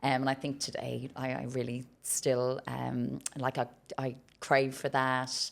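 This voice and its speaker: In a very clean recording with a silent background, a woman with an Irish accent speaks fairly slowly in a very deep, low pitch, monotone and flat, with vocal fry. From Ireland, Cork. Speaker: business leader. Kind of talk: podcast interview. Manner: loud.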